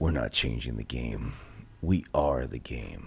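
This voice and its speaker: Using a put-on character voice, a man speaks at a very deep, low pitch and a fairly slow pace. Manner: cool, slow, menacing.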